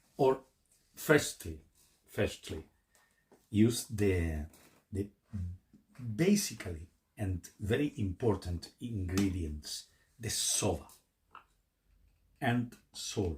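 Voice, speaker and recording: The speech moves at a very slow pace, broken by long, frequent pauses. The voice is somewhat breathy, with lively intonation. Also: man, fairly low pitch for a man. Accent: Spanish. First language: Spanish. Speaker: YouTuber, hobbyist. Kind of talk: tutorial. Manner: halting.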